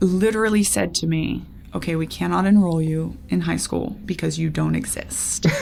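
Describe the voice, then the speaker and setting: Noticeable background noise behind a woman talking. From raised abroad in a cult, Latin America. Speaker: cult escapee and culture consultant. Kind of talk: podcast interview, personal story. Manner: animated storytelling.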